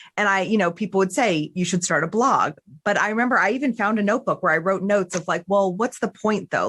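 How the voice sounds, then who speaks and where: A woman with a New Jersey accent talks at a fairly quick pace and medium pitch against a quiet background. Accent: New Jersey American. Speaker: podcast host. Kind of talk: casual chat. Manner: fast; animated.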